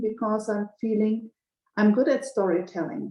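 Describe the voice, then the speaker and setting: A woman with a German accent and fairly even intonation. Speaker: banker and community member. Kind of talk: group video call discussion. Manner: halting, with repeated words.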